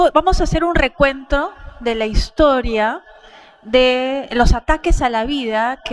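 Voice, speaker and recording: The woman talks at a fairly slow pace, her pitch varying in an ordinary way. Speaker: pro-life activist speaker. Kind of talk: conference talk.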